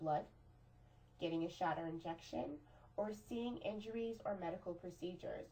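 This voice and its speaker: A woman at a moderate pace with very wide pitch swings, in audible room echo. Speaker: teacher. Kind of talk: lecture.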